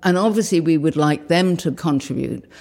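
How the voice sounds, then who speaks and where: A dark, mellow tone with ordinary pitch variation. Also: woman. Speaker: slide library founder. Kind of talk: interview recollection.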